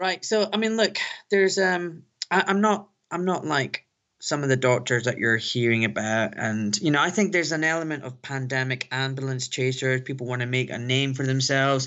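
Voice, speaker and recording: Lively intonation and a fairly quick pace, in a Glaswegian accent. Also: man, medium pitch for a man. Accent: Glaswegian Scottish. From Scotland, Glasgow. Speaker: orthopaedic surgeon. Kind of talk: interview. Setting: phone line.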